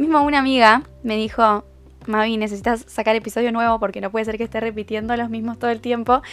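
With music in the background, a woman with a Uruguayan accent talks at a very fast pace in a fairly high pitch and monotone, flat intonation. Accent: Uruguayan Rioplatense Spanish. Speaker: podcaster. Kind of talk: casual monologue. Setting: recording in bed at home.

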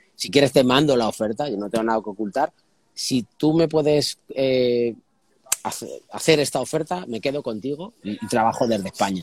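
A man's ordinary speaking voice, medium in pitch with ordinary pitch variation, in a dry, close sound with no echo. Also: moderate pace. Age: young. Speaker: guitarist and music industry consultant. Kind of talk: casual interview chat.

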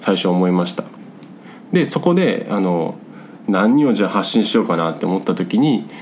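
A man speaks with audible room echo. Noticeable background noise runs underneath. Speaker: podcast host, self-renovating rural migrant. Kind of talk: casual solo talk. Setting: hot room at home. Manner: rambling, filler-heavy.

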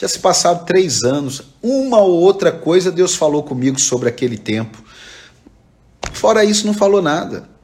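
A man's high-pitched voice with very wide pitch swings, at a moderate pace, amid noticeable background noise. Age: 40s. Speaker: pastor. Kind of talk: sermon. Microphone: echo on the voice.

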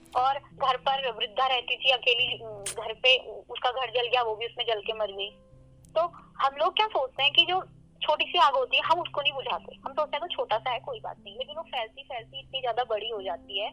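A woman with a high pitch and lively intonation speaks at a moderate pace, her loudness swinging widely over noticeable background noise. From Uttarakhand, India. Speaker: law student and radio presenter. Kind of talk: interview on environmental issue. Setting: phone call.

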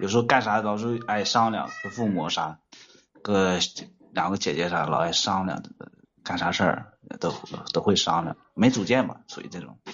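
A man with a fairly low pitch speaks at a moderate pace, pausing often and at length. His pitch variation is ordinary. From Shanxi, Datong. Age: 30s. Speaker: caller, excavator operator. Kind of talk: call-in advice chat.

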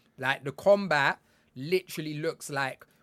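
The man's voice sits at a fairly high pitch with ordinary pitch variation, captured in a very clean recording with a silent background. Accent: British. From UK. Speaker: game industry consultant and content creator. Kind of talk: casual chat.

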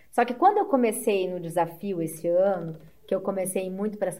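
With a normal speaking voice, a woman talks at a medium pitch and moderate pace with ordinary pitch variation. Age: 40s. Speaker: amateur triathlete. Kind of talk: casual interview chat.

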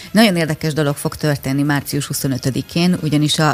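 Moderate pace over noticeable background noise. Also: woman. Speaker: radio morning show co-host. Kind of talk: radio interview. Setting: studio.

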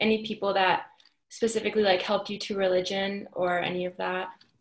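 The clip moves at a moderate pace. It is an ordinary speaking voice. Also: woman. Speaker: student interviewer. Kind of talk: oral history interview.

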